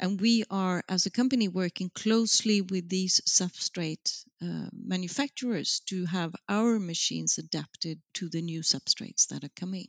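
With a Swedish accent, a woman talks at a moderate pace with hardly any pauses. The recording is very clean and silent in the background, with a dry, close sound and no echo. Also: medium pitch for a woman, ordinary pitch variation. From Sweden, Gothenburg. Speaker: marketing executive. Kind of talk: interview. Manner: hesitant with fillers.

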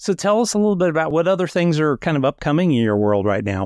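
A man's fairly high voice, fairly quick in pace, with very wide pitch swings. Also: dry, close sound with no echo, very clean recording, silent background. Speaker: podcast host. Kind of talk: interview intro and casual chat.

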